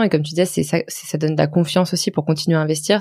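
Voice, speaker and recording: At a very fast pace, a woman talks with a very deep, low pitch and monotone, flat intonation. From France, Lyon. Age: 20s. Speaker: personal finance blogger. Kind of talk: casual interview.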